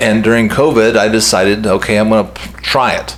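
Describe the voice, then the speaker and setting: A man talks moderately fast in a fairly low voice while noticeable background noise carries on. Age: 60s. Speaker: health vlogger. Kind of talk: casual monologue to camera. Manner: conversational with hesitations.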